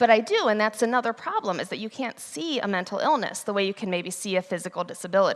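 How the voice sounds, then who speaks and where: A woman's fairly high voice at a very fast pace, with ordinary pitch variation and hardly any pauses. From US Midwest, Ohio. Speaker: conference speaker. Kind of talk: conference talk. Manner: loud, energetic.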